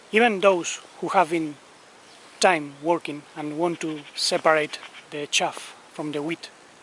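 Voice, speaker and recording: Fairly high male voice at a fairly slow pace, with big swings in loudness and noticeable background noise. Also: fairly even intonation. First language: Spanish. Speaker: spiritual teacher. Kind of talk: spiritual talk. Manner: careful, deliberate pronunciation.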